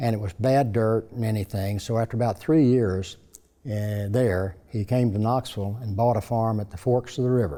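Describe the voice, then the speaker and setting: A man with a fairly low pitch talks at a moderate pace in an East Tennessee accent. His tone is dark and mellow, and his intonation is fairly even. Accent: East Tennessee Southern. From US South. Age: 80s+. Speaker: businessman. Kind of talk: interview. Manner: halting.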